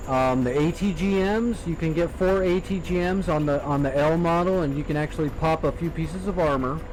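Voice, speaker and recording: With hardly any pauses, a fairly high-pitched man talks with ordinary pitch variation amid audible room echo. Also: fairly quick pace, very even loudness. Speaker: video game streamer. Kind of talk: casual chat. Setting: live stream. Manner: loud. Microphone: poor microphone.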